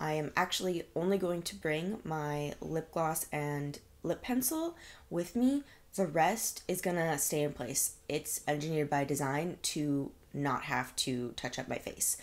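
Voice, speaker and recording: The woman's pitch is very deep and low, with ordinary variation. She speaks at a fairly slow pace. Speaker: beauty vlogger. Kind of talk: makeup tutorial chat. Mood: cheerful, upbeat. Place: home room.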